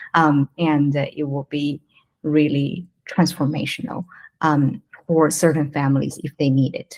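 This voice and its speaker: A woman with a non-native accent and a very deep, low pitch talks at a moderate pace with fairly even intonation. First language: not English. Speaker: wellness entrepreneur. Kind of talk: interview. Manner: halting.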